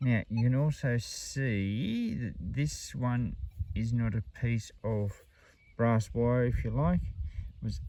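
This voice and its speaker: Over light background noise, a man talks at a fairly low pitch with ordinary pitch variation and a dark, mellow tone, in a dry sound with no echo. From Australia. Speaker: metal detecting vlogger. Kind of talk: casual outdoor commentary. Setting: outdoors in the bush. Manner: casual, chatty. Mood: enthusiastic. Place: open country.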